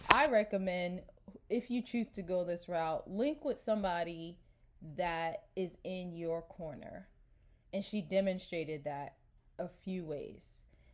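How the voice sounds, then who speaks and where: An ordinary speaking voice belongs to a woman with an American accent and a medium pitch. She talks at a fairly slow pace with lively intonation. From New York. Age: 30s. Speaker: podcast host. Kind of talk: casual solo podcast monologue. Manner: chatty, informal.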